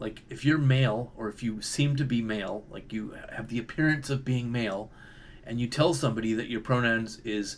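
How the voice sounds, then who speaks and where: With a Canadian accent, a man talks at a medium pitch with ordinary pitch variation. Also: moderate pace. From Canada. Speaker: video commentator. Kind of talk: monologue commentary. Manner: casual, hesitant with fillers.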